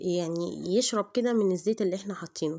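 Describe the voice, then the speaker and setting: Over a quiet background, a woman speaks with an Egyptian accent. Her tone is dark and mellow, with ordinary pitch variation. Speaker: cooking channel host. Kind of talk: cooking tutorial. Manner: hesitant, many fillers.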